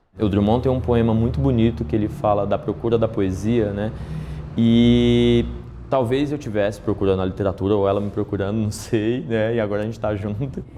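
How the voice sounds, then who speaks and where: Amid noticeable background noise and audible room echo, a man with a fairly low pitch speaks at a fairly quick pace with ordinary pitch variation. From Brazil, Piauí interior. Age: 30s. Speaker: teacher. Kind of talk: interview testimony; classroom teaching.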